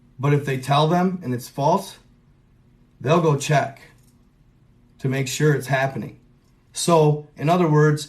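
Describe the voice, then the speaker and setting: The speaker talks fairly slowly and sounds somewhat breathy. Intonation stays fairly even. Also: man. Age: 30s. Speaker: conspiracy content creator. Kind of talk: casual livestream monologue. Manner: casual, rambling with fillers.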